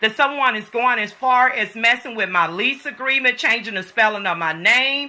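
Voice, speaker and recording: A woman with an American accent, animated in tone, at a moderate pace. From US. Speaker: vlogger. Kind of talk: complaint vlog. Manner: loud.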